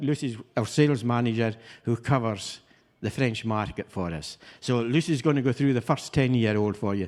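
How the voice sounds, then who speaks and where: Recorded very cleanly against a silent background, a man with a Hebridean accent talks at a moderate pace and medium pitch with ordinary pitch variation. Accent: Islay Scottish. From Scotland, Isle of Islay. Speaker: master distiller. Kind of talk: tasting presentation.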